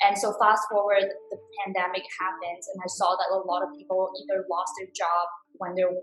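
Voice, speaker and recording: With music in the background, someone speaks at a fairly quick pace with fairly even intonation. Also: woman. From China, then Toronto, Canada from teens. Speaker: social media manager and coach. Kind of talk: podcast interview.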